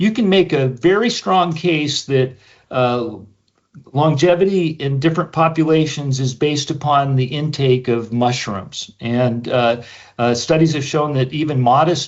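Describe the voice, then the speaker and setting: The speaker is a man with ordinary pitch variation. He talks at a fairly slow pace. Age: 60s. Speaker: naturopathic physician. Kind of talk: podcast interview. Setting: video podcast recording. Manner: halting, many fillers and repeats.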